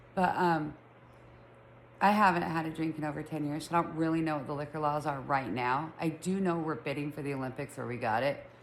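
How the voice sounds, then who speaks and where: With an American accent, a woman talks at a fairly quick pace in a very deep, low pitch, and audible room echo colors the sound. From Utah, Salt Lake City. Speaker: podcast host. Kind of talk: casual chat. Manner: chatty, filler-heavy.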